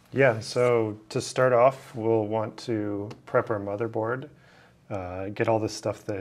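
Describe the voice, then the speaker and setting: An unremarkable speaking voice with fairly even intonation. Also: man. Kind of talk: tutorial explanation. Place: office. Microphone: lapel.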